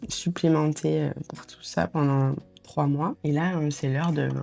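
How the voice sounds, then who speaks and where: With a dark, mellow tone, a woman talks at a very deep, low pitch. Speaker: vlogger. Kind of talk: casual vlog talk to camera. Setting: at home, breakfast. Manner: hesitant, many fillers.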